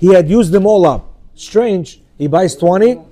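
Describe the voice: The clip is plain reading aloud.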